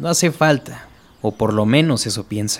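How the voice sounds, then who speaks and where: A man talks fairly slowly against noticeable background noise. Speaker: creepypasta storyteller. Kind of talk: horror story narration, bedtime ghost-story style, scripted reading.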